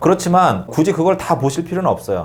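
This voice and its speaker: Lively in intonation, a man rattles along at a very fast pace. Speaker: exam prep instructor. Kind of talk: lecture.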